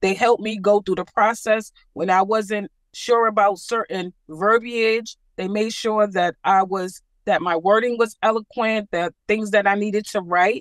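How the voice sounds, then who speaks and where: A plain, everyday voice from a woman at a medium pitch, fairly slow and fairly even in intonation, with a dry, close sound with no echo. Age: 60s. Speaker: home buyer, satisfied client. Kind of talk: interview.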